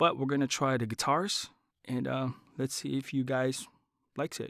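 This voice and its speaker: The recording is very clean, with a silent background. A man speaks at a medium pitch and moderate pace in an animated tone. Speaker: voice-over artist and tech reviewer. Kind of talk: product review. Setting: home studio. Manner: casual, animated.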